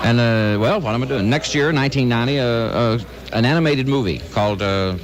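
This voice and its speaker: Noticeable background noise accompanies a man talking at a fairly quick pace, his medium pitch varying in an ordinary way. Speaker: country singer and musician being interviewed. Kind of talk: radio interview answer. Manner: casual, relaxed.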